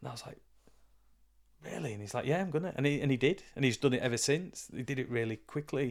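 A man with a Yorkshire accent, very fast pace, medium pitch and ordinary pitch variation. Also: big swings in loudness. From northern England, York. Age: 40s. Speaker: boxing coach and counsellor. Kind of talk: casual interview chat.

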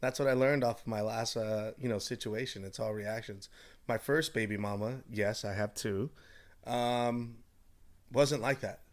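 A man with a normal speaking voice and an American accent, medium pitch, fairly even intonation, and a fairly slow pace. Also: very clean recording, silent background. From Southern California, Orange County. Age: 30s. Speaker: salesman. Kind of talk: casual chat.

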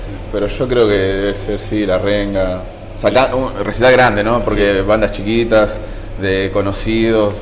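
In a Rioplatense accent, a man speaks fairly slowly in a flat monotone at a fairly low pitch, with audible room echo and noticeable background noise. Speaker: survivor of a nightclub fire. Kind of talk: testimony.

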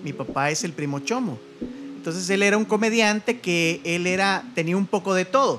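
Speaking with a Salvadoran accent, a man uses a high, bright, sharp voice with lively intonation at a moderate pace. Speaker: radio host and stand-up comedian. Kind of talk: casual chat.

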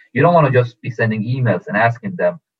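This man's voice is somewhat breathy and sits at a medium pitch with ordinary pitch variation. He talks at a fairly quick pace. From Sweden (Stockholm), born in Iran. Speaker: sports agent. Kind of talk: interview.

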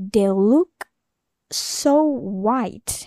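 With an Indonesian accent, a woman speaks in a dark, mellow tone at a fairly high pitch, her voice making very wide pitch swings in a dry, close sound with no echo. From Jakarta, Indonesia. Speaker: podcast host. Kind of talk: casual solo monologue. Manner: rambling, halting, candid.

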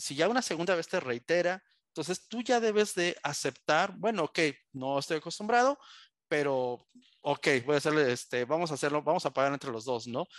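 A man speaks in a normal speaking voice, fairly high in pitch, with lively intonation, in a dry, close recording with no echo and a quiet background. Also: moderate pace. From Tijuana, Baja California, Mexico. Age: 40s. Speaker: marketing agency director. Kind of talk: interview conversation.

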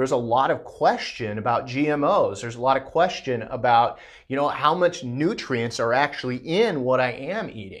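Against a quiet background, a man speaks at a moderate pace and medium pitch, with ordinary pitch variation and hardly any pauses. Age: 40s. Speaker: health practitioner podcast host. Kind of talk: educational monologue. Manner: hesitant, many fillers.

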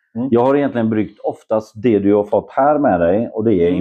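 The speech moves at a fairly quick pace, with ordinary pitch variation. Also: man. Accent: Polish. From Poland, Szczecin. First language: Polish (speaking Swedish). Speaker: homebrewer and photographer. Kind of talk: casual chat. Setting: at his home.

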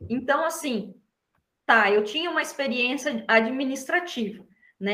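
A woman speaks in a bright, sharp tone, with audible room echo around her. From São Paulo state, Brazil (Atibaia). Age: 30s. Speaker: embroidery artisan. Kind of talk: interview.

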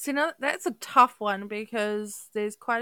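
With a New Zealand accent, a woman speaks at a fairly slow pace in a dry, close sound with no echo. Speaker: podcast co-host. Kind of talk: casual chat.

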